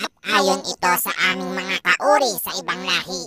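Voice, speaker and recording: A cartoonish character voice is delivered at a middle pitch. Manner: measured, with thoughtful humming.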